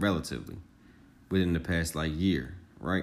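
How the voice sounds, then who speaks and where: Speaking at a fairly quick pace, a man uses a very deep, low pitch laced with vocal fry. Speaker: podcast host. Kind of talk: solo motivational monologue. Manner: fast.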